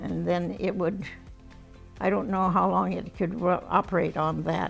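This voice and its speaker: Music plays in the background. A woman with an American accent speaks at a moderate pace. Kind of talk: interview answer. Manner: reminiscing, conversational.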